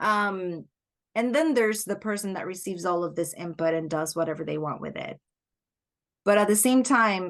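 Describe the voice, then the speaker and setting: In a Spanish accent, a woman talks at a medium pitch with ordinary pitch variation over a quiet background. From Puerto Rico. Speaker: life coach. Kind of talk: podcast interview. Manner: reflective, searching for words.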